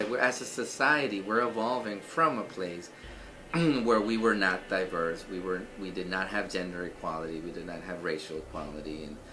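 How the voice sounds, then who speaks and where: Amid noticeable background noise and audible room echo, a man with a very deep, low pitch speaks with lively intonation and big swings in loudness. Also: moderate pace. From El Salvador. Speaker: surgical resident and veteran. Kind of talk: interview testimony. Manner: halting, many fillers.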